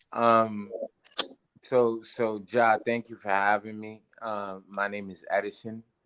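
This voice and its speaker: Speaking very slowly in a New York accent, a man with a fairly low voice keeps his intonation fairly even. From New York, South Bronx. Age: 30s. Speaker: teacher. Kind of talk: casual chat. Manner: halting.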